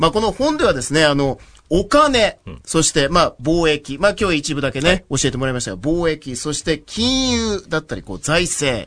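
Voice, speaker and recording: Pitched fairly high, a man speaks at a moderate pace with very wide pitch swings. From Japan, Yamaguchi Prefecture. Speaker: radio host. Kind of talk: radio interview. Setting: radio studio.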